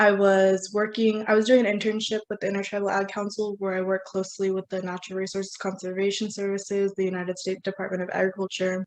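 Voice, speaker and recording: With an American accent, a woman rattles along at a very fast pace with hardly any pauses, her medium-pitched voice monotone and flat. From US West, northern California. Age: young. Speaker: student keynote speaker. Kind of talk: conference keynote presentation. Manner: frequent filler 'um', some restarts.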